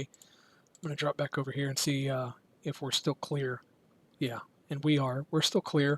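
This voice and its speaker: A man talks with a somewhat breathy voice at a fairly high pitch. His pace is moderate and his intonation is monotone and flat. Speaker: amateur radio operator. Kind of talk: casual talk to camera. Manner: low-key.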